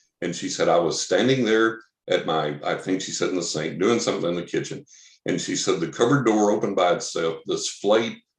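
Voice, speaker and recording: Using a normal speaking voice, a man with fairly low pitch talks at a fairly quick pace with ordinary pitch variation. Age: 60s. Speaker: psychic medium. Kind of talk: interview.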